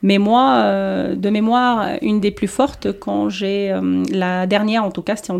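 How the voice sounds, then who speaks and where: Her pitch is medium. The woman's pitch variation is ordinary. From Tunisia. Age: 30s. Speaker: former politician. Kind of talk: interview. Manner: halting.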